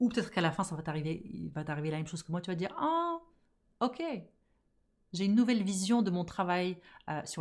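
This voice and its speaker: A woman speaks at a very fast pace with an animated tone and a medium pitch. Her pitch varies in an ordinary way on a very clean recording with a silent background. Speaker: podcast host and business coach. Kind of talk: casual podcast monologue.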